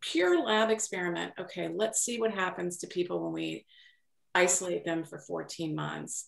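A woman speaks at a moderate pace against a quiet background. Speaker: aging life care manager. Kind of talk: panel discussion. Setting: video call. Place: home room. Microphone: video call.

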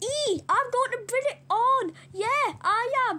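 A squeaky, put-on character voice. The pace is fairly slow. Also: woman, extremely high pitch for a woman. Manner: defiant, threatening.

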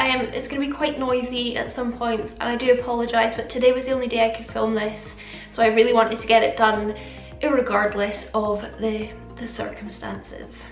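Faint music plays in the background as a woman talks at a fairly quick pace with fairly even intonation amid audible room echo. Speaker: beauty vlogger. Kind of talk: casual vlog chat. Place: home room.

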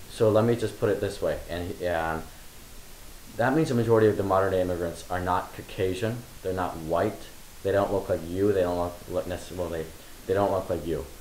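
Amid light background noise and audible room echo, the speaker talks at a fairly quick pace with ordinary pitch variation. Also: man, very deep, low pitch for a man. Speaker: interviewer. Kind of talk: interview. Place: home room.

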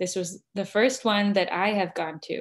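A woman talks with an American accent. The background is quiet. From Arizona, US. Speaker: seminary student; interview guest. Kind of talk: online interview. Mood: earnest, reflective. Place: home room. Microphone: video call.

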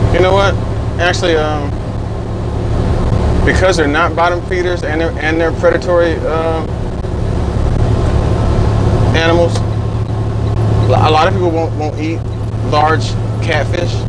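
A man speaks with long, frequent pauses over loud background noise. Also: moderate pace. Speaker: truck driver vlogger. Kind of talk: casual vlog chat. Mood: relaxed, joking. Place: car.

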